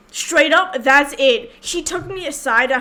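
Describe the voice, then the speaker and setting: A woman speaks in a raised, projected voice with a high pitch. Her pace is fairly slow, and her pitch varies in an ordinary way. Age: 20s. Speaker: podcast co-host. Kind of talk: casual chat.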